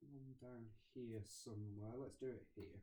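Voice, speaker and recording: Speaking very slowly, a man keeps a medium pitch and a flat, monotone intonation. His tone is dark and mellow, and somewhat breathy. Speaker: scrapbooking YouTuber. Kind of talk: craft tutorial chat.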